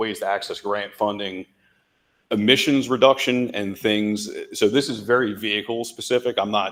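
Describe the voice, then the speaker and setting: Fairly low in pitch, a man talks at a moderate pace with fairly even intonation. The recording is very clean, the background silent. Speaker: bus sales representative. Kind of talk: presentation. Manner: loud.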